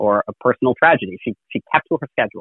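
A man talking at a very fast pace. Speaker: state solicitor general, former law clerk. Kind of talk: interview.

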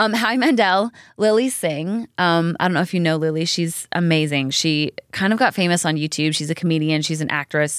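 A woman with an unremarkable speaking voice speaks at a fairly low pitch and fairly quick pace with ordinary pitch variation on a very clean recording with a silent background. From Canada. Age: 30s. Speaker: country singer and TV host. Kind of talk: casual chat.

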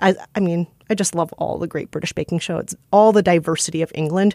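On a very clean recording with a silent background, a woman talks at a very fast pace. Her fairly low voice has a dark, mellow tone and a Midwestern American accent. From Minnesota, US Midwest. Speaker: podcast producer and co-host. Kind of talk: casual interview chat.

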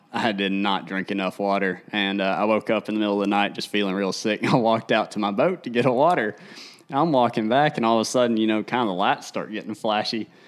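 In a Tennessee accent, a man talks at a very fast pace. His pitch is fairly low. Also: ordinary pitch variation. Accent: US Southern (Tennessee). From Tennessee, Tennessee River area. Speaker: professional bass angler. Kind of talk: casual livestream chat. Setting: livestream on video and social media.

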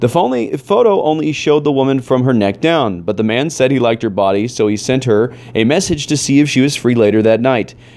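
Through noticeable background noise, a man at medium pitch talks at a fairly quick pace with very even loudness and hardly any pauses. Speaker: podcast host. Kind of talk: reading aloud. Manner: stifled laughter.

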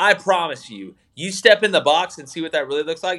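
A man's bright, sharp, fairly high voice carries vocal fry and lively intonation. He talks at a fairly quick pace on a very clean recording with a silent background. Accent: American. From Alabama, US South. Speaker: sports podcast host, former football coach. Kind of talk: interview.

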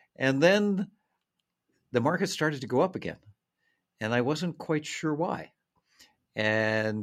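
On a very clean recording with a silent background, a man speaks at a fairly slow pace with lively intonation and long, frequent pauses. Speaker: author and finance consultant. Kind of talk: interview. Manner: halting, repeats words.

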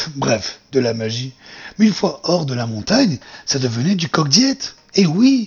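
Somewhat breathy, a man's voice unfolds fairly slowly. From southern France, near Marseille. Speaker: podcaster. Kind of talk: improvised storytelling; casual chat.

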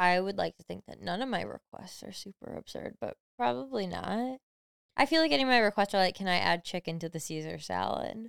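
In a dry, close recording with no echo, a woman talks at a fairly quick pace with big swings in loudness. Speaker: podcast co-host. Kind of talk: casual chat.

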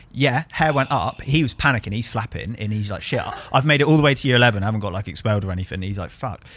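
A man with a southern English accent talks at a very fast pace, his intonation lively. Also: medium pitch for a man. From southern England, Bournemouth. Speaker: painter. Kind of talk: casual chat. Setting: studio.

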